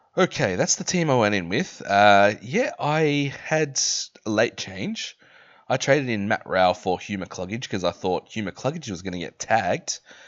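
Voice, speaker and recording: A man with an Australian accent at a medium pitch, pitch swinging very widely, moderate pace. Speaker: fantasy football content creator. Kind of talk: casual commentary video.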